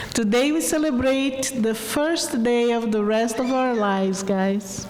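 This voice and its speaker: With a strong Brazilian accent, a woman talks at a fairly slow pace in a fairly high voice, her pitch varying in an ordinary way and her loudness very even, amid audible room echo and noticeable background noise. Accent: Brazilian Portuguese, heavy. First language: Portuguese. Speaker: adult education graduate, student speaker. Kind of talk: graduation speech. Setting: auditorium stage with audience.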